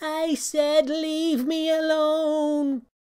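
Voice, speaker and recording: This put-on character voice sits at a high pitch and stays in a monotone, flat intonation. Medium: read story. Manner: nervous.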